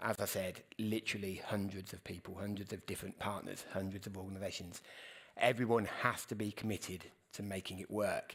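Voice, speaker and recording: In a very clean recording with a silent background, a man with a British accent speaks at a fairly low pitch. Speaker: news editor and journalist. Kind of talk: conference Q&A. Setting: stage with audience. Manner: fast; halting, many fillers.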